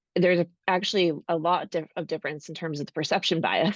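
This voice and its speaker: A woman with a North American accent, a normal speaking voice, a fairly low pitch and a fairly quick pace. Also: dry, close sound with no echo. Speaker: architecture robotics founder. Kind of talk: panel discussion.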